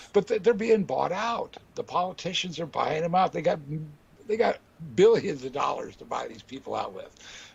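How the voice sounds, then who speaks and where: A man at a moderate pace, his loudness swinging widely, with noticeable background noise. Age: 60s. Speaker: guest. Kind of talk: casual chat.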